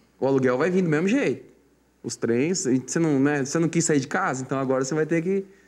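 A man's normal speaking voice, fairly high in pitch, with a fairly quick pace and ordinary pitch variation. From Mato Grosso do Sul, Brazil. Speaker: sertanejo singer. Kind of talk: casual interview.

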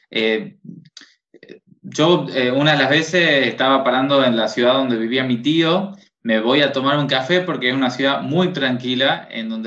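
The speech moves at a moderate pace with ordinary pitch variation, and audible room echo fills the recording. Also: man. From Tucumán, northern Argentina. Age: 20s. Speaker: psychologist and educator. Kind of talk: casual interview.

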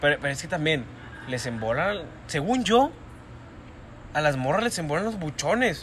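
In an animated tone, a man speaks at a moderate pace and fairly high pitch with very wide pitch swings. Long pauses come often. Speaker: podcast co-host. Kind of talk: casual chat.

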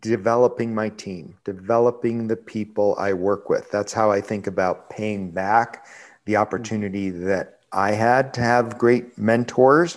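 A man with an American accent uses an ordinary speaking voice at a fairly low pitch, with fairly even intonation. His pace is fairly slow with hardly any pauses, in a very clean recording with a silent background. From Buffalo, New York. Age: 50s. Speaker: restaurant chain CEO. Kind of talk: interview.

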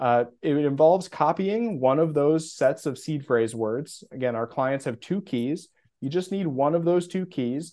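In a quiet background, a man with a plain, everyday voice talks at a moderate pace, his pitch fairly high and his intonation lively. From US Midwest. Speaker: bitcoin custody specialist. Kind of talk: casual interview.

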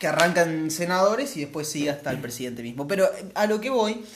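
There is audible room echo and noticeable background noise as a man talks at a fairly quick pace in a Rioplatense accent. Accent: Argentine Rioplatense Spanish. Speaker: podcast co-host. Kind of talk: casual chat.

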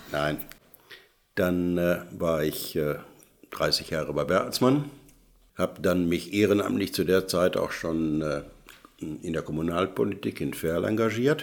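This man's voice is very deep and low in pitch. He speaks at a very slow pace, with long, frequent pauses. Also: lively intonation. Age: old. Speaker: retired tradesman, volunteer. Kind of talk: casual panel chat. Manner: hesitant, many fillers.

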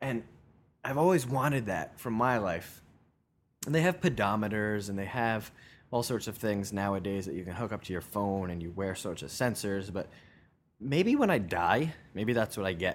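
In a very clean recording with a silent background, a man speaks at a moderate pace with a fairly low pitch. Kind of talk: casual solo monologue. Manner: animated, conversational with fillers.

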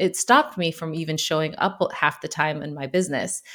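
In a very clean recording with a silent background, a woman with an American accent speaks in a normal speaking voice, her fairly low pitch showing ordinary variation. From USA. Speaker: photographer. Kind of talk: casual chat.

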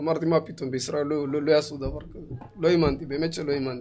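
A man's fairly high-pitched voice at a fairly quick pace, an ordinary speaking voice. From Israel, Ethiopian community. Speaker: cook and community show host. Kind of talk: casual chat. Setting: studio.

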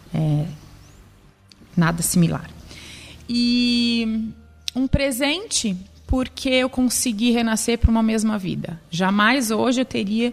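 A woman with a fairly high pitch speaks at a very slow pace, leaving long, frequent pauses, with ordinary pitch variation. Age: 30s. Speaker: cancer survivor. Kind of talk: testimony.

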